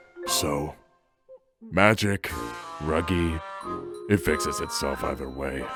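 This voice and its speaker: Over faint background music, a man uses a put-on character voice with a very deep, low pitch at a fairly slow pace. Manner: drawling, smirking.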